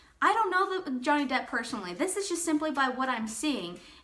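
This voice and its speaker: In a raised, projected voice, a woman speaks with a bright, sharp tone and very wide pitch swings, with audible room echo around her. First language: not English. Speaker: YouTuber. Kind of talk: casual commentary; reading aloud. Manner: rambling, informal.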